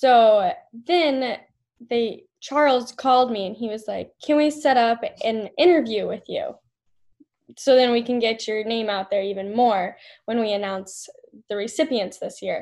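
A woman with an American accent speaks at a fairly slow pace in an ordinary speaking voice, her pitch fairly high with ordinary variation. The background is quiet. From US Upper Midwest (South Dakota). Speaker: golf management student. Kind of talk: podcast interview.

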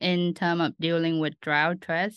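A woman's fairly low-pitched, bright, sharp voice with a Vietnamese accent, in a dry, close sound with no echo and a quiet background. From Vietnam, Ho Chi Minh City. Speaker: doctoral student researcher. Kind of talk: interview.

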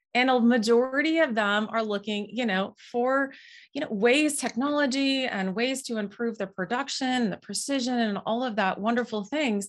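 Speaking in an Upper Midwest accent with hardly any pauses, a woman uses a high pitch and ordinary pitch variation. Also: moderate pace. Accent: Upper Midwest American. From Minnesota (Moorhead). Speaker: farm software co-founder. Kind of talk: interview.

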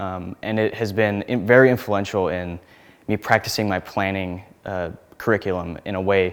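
The speaker has a Midwestern American accent and fairly even intonation. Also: man. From Nebraska, small town. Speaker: graduate planning student. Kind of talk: interview. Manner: casual, with frequent fillers.

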